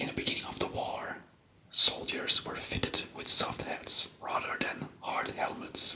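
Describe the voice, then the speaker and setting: A man whispers in a Flemish accent at a fairly slow pace, with noticeable background noise. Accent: Flemish Belgian. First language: Flemish (Dutch). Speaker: ASMR history youtuber. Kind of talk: casual ASMR talk. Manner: whispering; halting.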